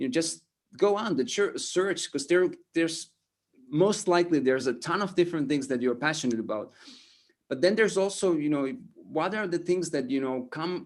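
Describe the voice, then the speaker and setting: The man's voice is high in pitch, with lively intonation. He keeps a moderate pace. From Estonia. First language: Estonian. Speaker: motivational speaker. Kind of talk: interview. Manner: halting, many repetitions and fillers.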